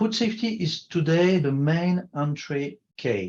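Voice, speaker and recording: This man has a non-native accent. He speaks with lively intonation. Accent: foreign. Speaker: food industry consultant. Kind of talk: conference presentation. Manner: halting.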